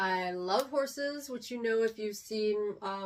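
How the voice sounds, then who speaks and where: Speaking with an American accent, a woman uses a fairly high pitch with ordinary variation. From Texas. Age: 40s. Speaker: vlogger. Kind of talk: casual chat. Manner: hesitant, many fillers.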